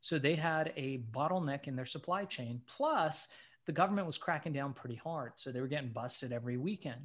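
In a very clean recording with a silent background, a man with a fairly high pitch and a somewhat breathy voice talks at a fairly quick pace with ordinary pitch variation. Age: 40s. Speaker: entrepreneur. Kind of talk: podcast interview.

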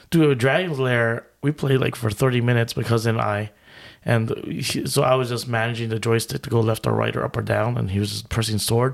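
A normal speaking voice moves at a fairly quick pace, its pitch varying in an ordinary way. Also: man, medium pitch for a man. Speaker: podcast co-host. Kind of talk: casual chat.

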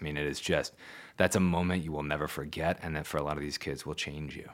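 The very clean recording has a silent background. A man with a very deep, low pitch speaks with vocal fry and fairly even intonation. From Louisville, Kentucky. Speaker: public media executive. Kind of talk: casual interview.

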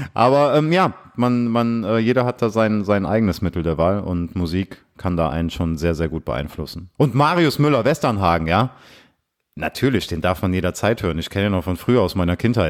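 A man with an unremarkable speaking voice talks at a fairly quick pace, fairly low in pitch, with lively intonation. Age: 30s. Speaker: podcast host. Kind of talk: casual chat.

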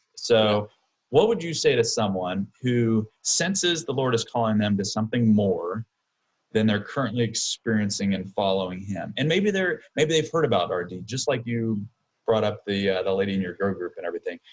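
An unremarkable speaking voice from a man, medium in pitch, with lively intonation at a moderate pace. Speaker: podcast co-host, church leader. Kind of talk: casual interview chat.

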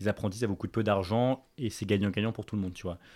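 A fairly low-pitched man in a very clean recording with a silent background. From Paris, France. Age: 20s. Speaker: fashion entrepreneur. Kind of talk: casual interview. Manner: animated.

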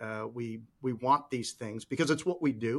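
A man with an American accent speaks at a fairly slow pace and medium pitch in an unremarkable speaking voice. The recording is very clean, with a silent background. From Chicago, US Midwest. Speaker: podcast host. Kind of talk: casual interview chat.

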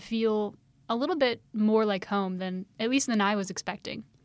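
A plain, everyday voice, a woman of medium pitch at a fairly quick pace, on a very clean recording with a silent background. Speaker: student podcast host. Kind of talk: casual interview.

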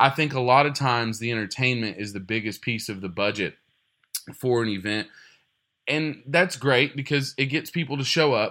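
A man speaks with a Texan accent at a moderate pace. His medium-pitched voice has a bright, sharp tone and ordinary pitch variation. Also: very clean recording, silent background. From Texas. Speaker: fundraising auctioneer. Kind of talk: interview.

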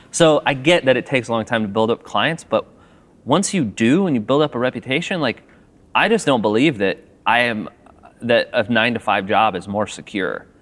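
This man has an unremarkable speaking voice, talking at a medium pitch and a moderate pace with lively intonation. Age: 30s. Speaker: filmmaker, owner of a video production company. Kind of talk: interview conversation. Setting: theater balcony.

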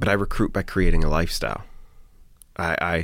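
Talking at a fairly quick pace, a man with an American accent uses lively intonation. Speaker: real estate broker. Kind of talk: casual interview.

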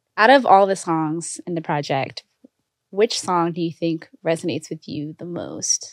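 A plain, everyday voice from a woman, fairly low-pitched with ordinary pitch variation, fairly slow, with big swings in loudness and a dry, close sound with no echo. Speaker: podcast co-host. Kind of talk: casual interview chat.

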